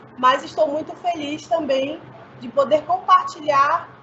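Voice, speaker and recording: A high-pitched woman with ordinary pitch variation, amid noticeable background noise. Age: 40s. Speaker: teacher. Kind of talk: panel discussion.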